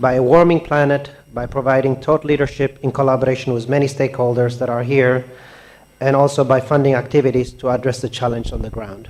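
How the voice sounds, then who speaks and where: Monotone, flat delivery from a man at medium pitch and a fairly quick pace. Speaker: donor agency representative. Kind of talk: keynote speech. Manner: soft-spoken.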